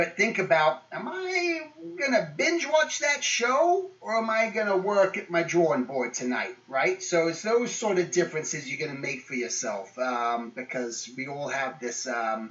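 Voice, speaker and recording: Very wide pitch swings from a man with a high voice, hardly any pauses, and noticeable background noise. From England. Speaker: guest speaker. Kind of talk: motivational talk to students. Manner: casual, many fillers.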